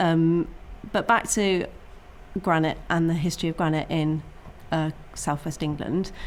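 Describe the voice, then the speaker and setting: Against audible room echo, a woman with a fairly low pitch speaks at a moderate pace, keeping her intonation fairly even with long, frequent pauses. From Cornwall (Penwith). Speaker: geologist. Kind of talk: lecture. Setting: talk event with audience.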